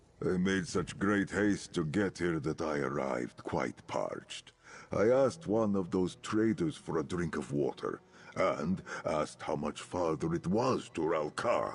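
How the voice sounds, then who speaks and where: A man does a put-on character voice at a very deep, low pitch. His tone is solemn and his pace moderate. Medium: video game. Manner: formal, archaic, solemn.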